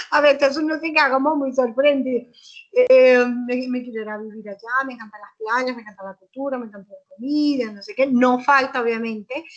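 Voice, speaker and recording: A high-pitched woman's voice at a fairly quick pace, with ordinary pitch variation and big swings in loudness. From Colombia. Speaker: guest lecturer, student abroad. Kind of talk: conference talk with Q&A. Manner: halting, many fillers and self-corrections.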